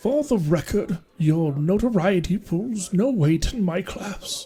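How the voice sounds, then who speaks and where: Putting on a character voice in a British accent, a man speaks at a fairly slow pace with a high pitch and lively intonation. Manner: haughty, condescending.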